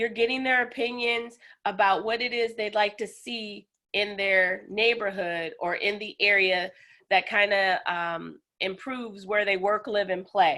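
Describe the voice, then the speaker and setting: In an ordinary speaking voice, a woman talks at a fairly slow pace and medium pitch with fairly even intonation. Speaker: city outreach liaison. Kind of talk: webinar presentation. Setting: video call from basement office.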